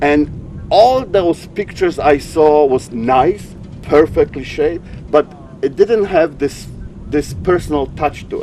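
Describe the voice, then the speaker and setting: Music plays in the background as a man speaks at a fairly slow pace. His voice is fairly high, with lively intonation. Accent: Polish. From Poland, small mountain town. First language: Polish. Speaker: sailing photographer. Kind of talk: interview. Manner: halting, repeats words.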